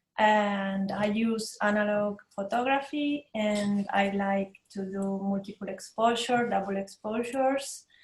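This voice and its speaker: Speaking very slowly with an Italian accent, a woman uses a medium pitch, fairly even intonation and a somewhat breathy tone. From Italy. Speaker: photographer. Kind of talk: panel talk. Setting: video call.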